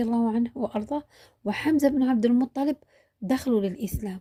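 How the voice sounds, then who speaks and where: A woman's high, dark, mellow voice at a fairly slow pace, with ordinary pitch variation and a dry, close sound with no echo. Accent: Algerian. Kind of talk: religious history narration.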